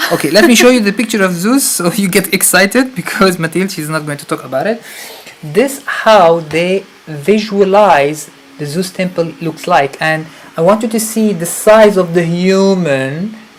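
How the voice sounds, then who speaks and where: A man with an Arabic accent speaks in an animated tone at a moderate pace. His pitch is high with ordinary variation, over noticeable background noise. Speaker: spiritual retreat leader. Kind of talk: live stream talk. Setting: live stream.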